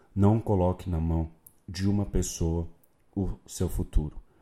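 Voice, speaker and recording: Very deep and low, a man's voice with a dark, mellow tone and a Brazilian accent moves at a fairly slow pace with fairly even intonation, on a very clean recording with a silent background. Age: 30s. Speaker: sports marketing podcaster. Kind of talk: unscripted solo podcast monologue.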